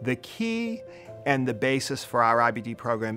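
Music plays in the background as a man with an American accent speaks at a moderate pace. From Boston, Massachusetts. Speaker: pediatric gastroenterologist. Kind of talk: interview answer.

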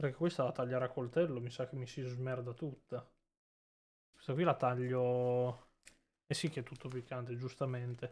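A man's flat, monotone delivery broken by long, frequent pauses. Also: medium pitch for a man, moderate pace. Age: 20s. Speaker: streamer. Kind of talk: casual live stream chat.

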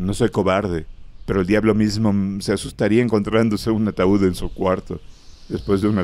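Plain reading aloud, intonation held fairly even

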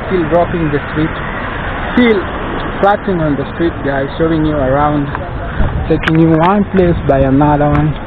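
At a moderate pace, a man talks against noticeable background noise, the sound dry with no echo. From Kenya. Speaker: YouTube vlogger. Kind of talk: walking vlog narration. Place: street. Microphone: phone near.

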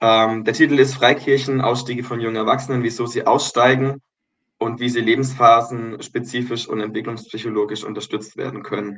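A man with a strong Baden accent speaks at a moderate pace in a monotone, flat intonation. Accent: strong Baden regional dialect. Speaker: kindergarten director, religious education graduate; podcast guest. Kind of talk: casual interview. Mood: reflective, earnest. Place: home room. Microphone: video call.

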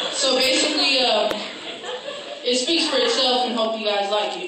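There is a woman speaking with audible room echo. Loud background noise is present. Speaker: spoken word poet. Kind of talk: casual talk to a live audience. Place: stage. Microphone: pa.

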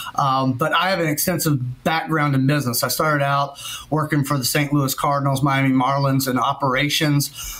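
A man talks with a Southern US accent. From Kentucky. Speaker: insurance claims adjuster. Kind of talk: casual podcast interview. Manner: animated. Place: home room. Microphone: webcam.

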